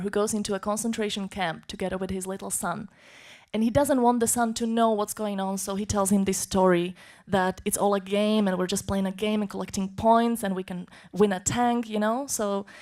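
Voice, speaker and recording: With a Slovak accent, a woman speaks at a moderate pace and medium pitch in a monotone, flat intonation. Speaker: conference interpreter. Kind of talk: conference talk.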